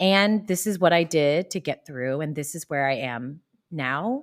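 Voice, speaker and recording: An unremarkable speaking voice with an American accent moves at a fairly slow pace with lively intonation. The sound is dry and close with no echo, on a very clean recording with a silent background. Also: woman. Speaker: podcast guest, writer and yoga teacher. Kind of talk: casual interview.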